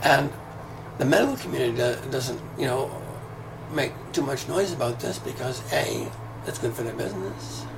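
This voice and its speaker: Speaking at a moderate pace with long, frequent pauses, a man is heard with audible room echo and noticeable background noise. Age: 60s. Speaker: video commentator, former yoga teacher. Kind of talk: casual monologue rant. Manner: hesitant fillers; animated, heated.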